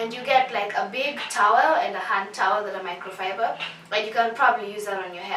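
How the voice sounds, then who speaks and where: A woman speaks very fast at a medium pitch, her tone animated and her pitch varying normally. Noticeable background noise and audible room echo surround her. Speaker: beauty vlogger. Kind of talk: tutorial.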